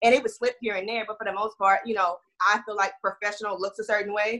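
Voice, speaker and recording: A woman with a Texan accent talks very fast at a fairly high pitch, in monotone, flat intonation. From Houston, Texas. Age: 20s.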